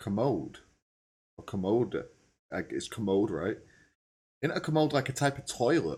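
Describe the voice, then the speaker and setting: In a British accent, a man talks with medium pitch, vocal fry and lively intonation. He leaves long, frequent pauses. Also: moderate pace. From England. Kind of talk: casual reaction commentary.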